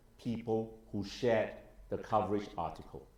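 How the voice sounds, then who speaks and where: A man at medium pitch, with audible room echo. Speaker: lawyer and politician. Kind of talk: interview discussion.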